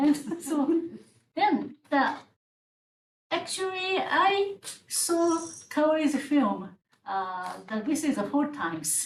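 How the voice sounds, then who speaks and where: A high-pitched woman with a Japanese accent, very wide pitch swings, a very slow pace and long, frequent pauses. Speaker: legal scholar, panelist. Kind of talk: panel discussion. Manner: halting, hesitant.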